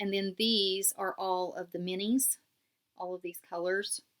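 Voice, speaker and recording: In a West Virginia accent, a woman speaks at a very slow pace. Her pitch is medium and her intonation fairly even. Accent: southern West Virginia. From southern West Virginia. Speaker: knitting podcaster. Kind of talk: casual show-and-tell podcast. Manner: casual, with frequent fillers.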